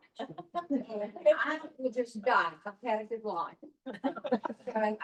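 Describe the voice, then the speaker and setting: A woman with a Mississippi accent talks in a high voice with ordinary pitch variation. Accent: Southern US (Mississippi). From US South. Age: 80s+. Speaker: customer testimonial speaker. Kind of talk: testimony.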